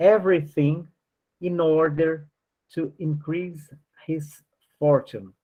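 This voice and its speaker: At a very slow pace, a man with a non-native accent speaks at a fairly high pitch. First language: not English. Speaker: spiritist study group teacher. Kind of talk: study class, reading aloud with commentary. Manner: halting, many fillers.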